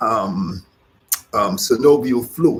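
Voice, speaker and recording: A man with a fairly high pitch and vocal fry swings his voice very widely up and down. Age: 60s. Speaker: yoga teacher. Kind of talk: instructional class talk. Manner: halting, with frequent fillers.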